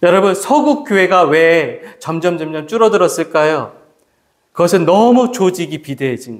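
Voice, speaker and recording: A high-pitched man at a moderate pace, with very wide pitch swings, big swings in loudness and audible room echo. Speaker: pastor. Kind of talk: sermon. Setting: church.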